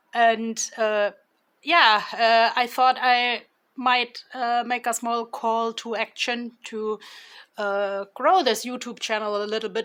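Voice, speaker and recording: On a very clean recording with a silent background, a woman with a German accent speaks fairly slowly in a high-pitched voice. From Germany. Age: 40s. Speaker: tarot reader. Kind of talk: tarot reading. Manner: halting, many fillers.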